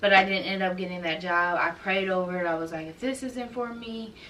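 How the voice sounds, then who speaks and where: Amid noticeable background noise and audible room echo, a woman speaks at a fairly quick pace and medium pitch. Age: 20s. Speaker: YouTuber and nursing student. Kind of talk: casual vlog talk. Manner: conversational, with frequent fillers.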